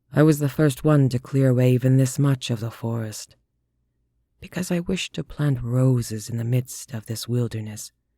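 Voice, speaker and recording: A man's put-on character voice at medium pitch, with ordinary pitch variation and a moderate pace. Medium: read story. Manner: slow, formal, courtly.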